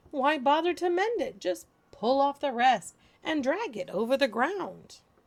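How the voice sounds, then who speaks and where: A high-pitched woman's voice, put on as a character, at a medium tempo. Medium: read story. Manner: breezy, overconfident.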